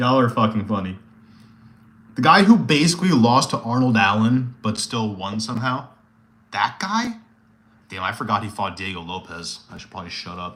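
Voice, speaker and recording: Shouting loudly at a moderate pace, a man uses a bright, sharp tone at medium pitch with very wide pitch swings. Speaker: MMA streamer. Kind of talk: casual live stream chat with viewers. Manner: loud, yelling; animated.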